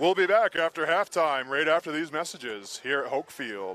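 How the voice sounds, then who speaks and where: A booming, put-on character voice from a man, fairly high in pitch, at a moderate pace. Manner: big, booming.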